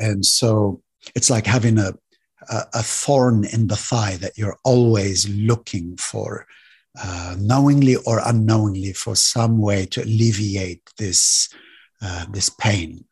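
A man speaks very slowly at a fairly low pitch, somewhat breathy. His intonation is fairly even, and the background is quiet. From Lebanon. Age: 50s. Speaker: meditation and breathwork teacher. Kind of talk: casual chat.

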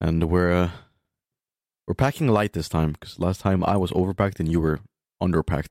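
A man with a non-native accent speaks at a fairly quick pace in a very deep, low voice with ordinary pitch variation, leaving long, frequent pauses. The recording is very clean with a silent background, dry and close with no echo. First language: not English. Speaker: podcast co-host. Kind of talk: casual chat.

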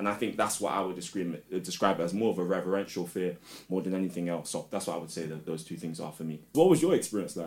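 A man's very deep, low voice at a very fast pace, with a London accent. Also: fairly even intonation. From London, England. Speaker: spoken word artist and teacher. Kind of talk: casual chat.

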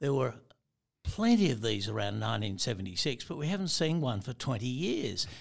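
A man with an Australian accent speaks at a medium pitch and a fairly quick pace, with vocal fry. His pitch swings very widely in a very clean recording with a silent background. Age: 70s. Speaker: veteran fly fisherman. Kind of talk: casual chat.

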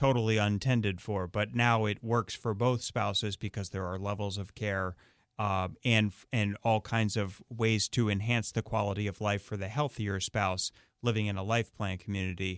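In a very clean recording with a silent background and a dry, close sound with no echo, a man with an ordinary speaking voice talks at a moderate pace, his intonation fairly even. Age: 40s. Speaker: radio host and elder law attorney. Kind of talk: radio interview. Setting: radio studio.

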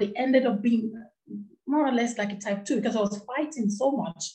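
A woman's fairly high, somewhat breathy voice with a dark, mellow tone and ordinary pitch variation. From Nigeria. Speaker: anti-FGM advocate and charity founder. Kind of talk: interview, personal testimony.

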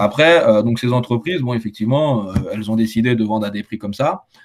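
A man speaks in a plain, everyday voice at medium pitch with ordinary pitch variation. His pace is fairly quick, and the recording is very clean with a silent background. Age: 20s. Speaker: solar panel installer. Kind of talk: casual chat.

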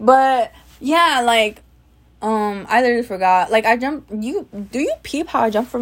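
Her voice is high, and she speaks with an American accent. This woman takes a fairly slow pace, with lively intonation. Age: 20s. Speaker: podcaster. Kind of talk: casual monologue. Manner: stutters.

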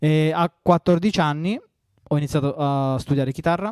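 Recorded very cleanly against a silent background, a man speaks with a southern Italian accent in a dry, close sound with no echo. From southern Italy. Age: 30s. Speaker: electronic music producer. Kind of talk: interview.

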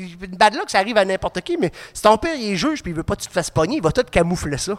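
The speech races at a very fast pace with lively intonation. The recording is very clean and silent behind the voice, with a dry, close sound and no echo. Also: man. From Quebec, Côte-Nord. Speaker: podcast co-host. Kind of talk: casual chat. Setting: studio with live audience.

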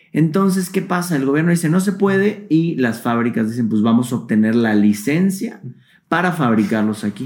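A man with a Mexican accent, fairly high in pitch, with very wide pitch swings and very even loudness. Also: moderate pace. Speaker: YouTuber and vintage toy collector. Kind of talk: casual interview chat.

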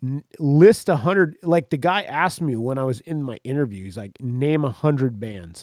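Recorded very cleanly with a silent background, a man speaks at a fairly high pitch in a dry, close sound with no echo. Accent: American. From central Florida. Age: 40s. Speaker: musician and former radio broadcaster. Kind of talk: casual chat. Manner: animated.

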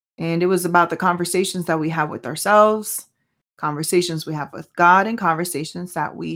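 In a very clean recording with a silent background, a woman with a Spanish accent speaks at a moderate pace, her fairly low pitch showing ordinary variation and big swings in loudness. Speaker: podcast host. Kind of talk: solo podcast monologue with faith reflection. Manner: casual, halting with fillers.

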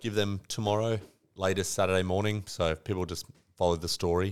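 With an Australian accent, a man speaks at a moderate pace in a very deep, low voice with monotone, flat intonation. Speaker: podcast co-host. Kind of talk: casual chat.

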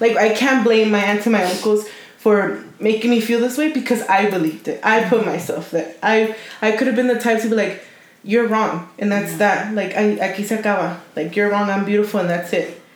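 Amid audible room echo and noticeable background noise, a woman speaks at a fairly high pitch and fairly quick pace with fairly even intonation. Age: 20s. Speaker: podcast co-host. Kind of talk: casual chat.

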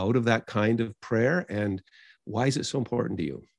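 A normal speaking voice at a moderate pace. The sound is dry and close, with no echo. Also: man. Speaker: podcast co-host. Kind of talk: interview.

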